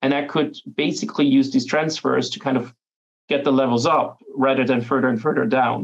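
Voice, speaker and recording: A man's medium-pitched voice with vocal fry, ordinary pitch variation and a fairly quick pace. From Austria. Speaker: privacy activist. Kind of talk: panel discussion.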